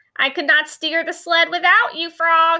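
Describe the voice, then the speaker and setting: A woman's squeaky, put-on character voice at an extremely high pitch, at a moderate pace. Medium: read story.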